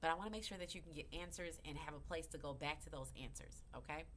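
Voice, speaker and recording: Audible room echo surrounds the voice. The speaker is a woman. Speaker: crypto educator. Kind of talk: livestream tutorial. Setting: live video broadcast. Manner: animated.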